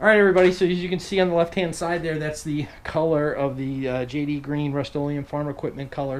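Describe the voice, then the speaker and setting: Noticeable background noise and audible room echo surround a man with an American accent and a fairly high pitch. He talks very fast, with fairly even intonation and hardly any pauses. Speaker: outdoors YouTuber. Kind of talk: tutorial. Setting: home garage. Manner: casual.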